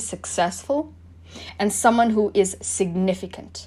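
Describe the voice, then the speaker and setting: At a moderate pace, a woman talks with vocal fry. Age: 20s. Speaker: motivational podcaster. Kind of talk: motivational monologue.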